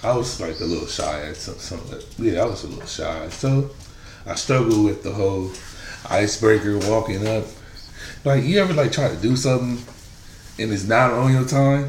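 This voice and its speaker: A man with lively intonation at a moderate pace over noticeable background noise. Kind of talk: casual chat. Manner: casual, profane.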